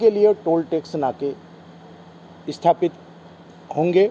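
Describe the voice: A man speaks at a fairly slow pace. His tone is dark and mellow.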